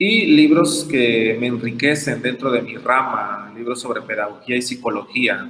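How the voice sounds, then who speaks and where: A man's medium-pitched voice at a fairly slow pace, with hardly any pauses, ordinary pitch variation and audible room echo. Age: 20s. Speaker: teacher giving a talk. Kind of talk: lecture.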